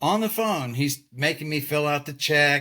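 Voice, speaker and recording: In a very clean recording with a silent background, a man with a Texan accent speaks in an animated tone. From Texas. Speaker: retired lighting designer. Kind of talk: casual chat.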